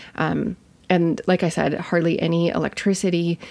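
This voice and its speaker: A woman with a Midwestern American accent at a fairly slow pace. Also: very clean recording, silent background. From US Midwest. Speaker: podcast host, nurse and health educator. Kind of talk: solo podcast monologue. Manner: casual, chatty.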